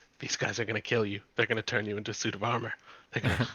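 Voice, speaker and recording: A man's quiet, breathy whisper in a put-on character voice, sinister in tone and very fast, with a dry, close sound with no echo. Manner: sinister whisper.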